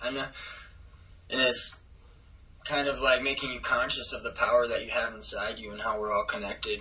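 Over noticeable background noise, a man with an American accent talks at a fairly quick pace. He leaves long, frequent pauses. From Minnesota. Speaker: professional skateboarder. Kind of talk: casual chat.

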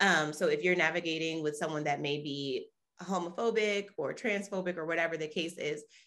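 A woman speaks with an American accent at a moderate pace. Her pitch variation is ordinary. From New Orleans, US South. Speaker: nonprofit founder. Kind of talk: interview.

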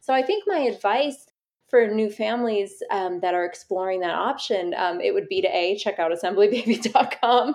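A woman with an American accent has a plain, everyday voice at a fairly high pitch. She speaks at a moderate pace with ordinary pitch variation. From New York City. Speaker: business founder. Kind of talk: interview.

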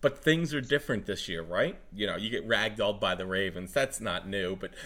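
A man speaks with a bright, sharp tone and some vocal fry. The recording is very clean, with a silent background. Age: 30s. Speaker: sports podcast host. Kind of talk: casual chat.

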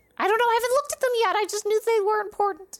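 In a squeaky, put-on character voice, a female-sounding speaker rattles along at a very fast pace with extremely high pitch. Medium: actual play. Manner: fast, rambling.

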